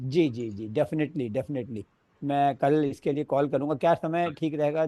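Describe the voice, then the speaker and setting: A man speaks at a fairly high pitch in a dark, mellow tone. His pace is moderate, his pitch variation is ordinary, and the background is quiet. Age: 70s. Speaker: webinar participant. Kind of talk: video call Q&A. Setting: video call from his office.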